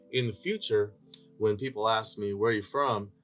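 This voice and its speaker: A man speaks with music in the background. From San Bernardino, California. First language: Spanish. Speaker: school superintendent. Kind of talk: interview. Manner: animated.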